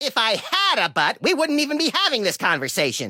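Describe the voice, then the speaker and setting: A man's put-on character voice, raised and projected, at an extremely high pitch and a fairly quick pace. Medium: video game.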